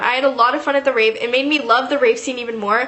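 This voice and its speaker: A woman with a high pitch talks at a very fast pace against noticeable background noise. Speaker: YouTube vlogger. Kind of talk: storytime monologue. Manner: casual, filler-heavy.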